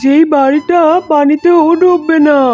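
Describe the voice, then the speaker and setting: Faint music sits in the background behind a cartoonish character voice that moves at a fairly slow pace. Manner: calm, reassuring.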